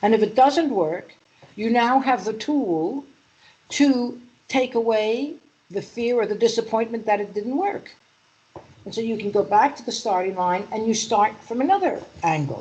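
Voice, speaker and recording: A woman's fairly high, somewhat breathy voice with a dark, mellow tone, lively intonation and a New York accent. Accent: New York accent, still there. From US Northeast, Manhattan New York. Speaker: EFT practitioner and mindset coach. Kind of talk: interview.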